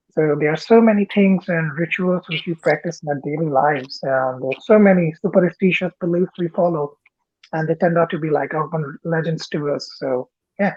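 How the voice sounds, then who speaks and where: With an Indian accent, a man speaks in a high pitch with ordinary pitch variation. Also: moderate pace. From northern India. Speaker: interview guest. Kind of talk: casual interview.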